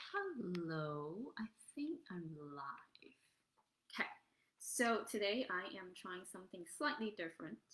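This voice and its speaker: Soft-spoken and very slow, a woman with a medium-pitched voice makes very wide pitch swings and big swings in loudness. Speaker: life coach. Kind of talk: live-streamed motivational talk. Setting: standing, live stream on camera. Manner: hesitant, many fillers.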